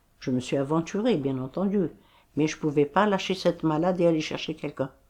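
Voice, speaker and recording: Speech at a fairly quick pace with ordinary pitch variation is captured in a very clean recording against a silent background. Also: woman. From Algeria, Sidi Bel Abbès. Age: 80s+. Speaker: retired nurse. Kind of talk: testimony.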